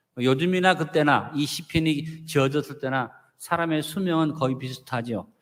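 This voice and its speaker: His pitch shifts in an ordinary way. The man talks at a moderate pace. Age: 60s. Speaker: pastor. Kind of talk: sermon.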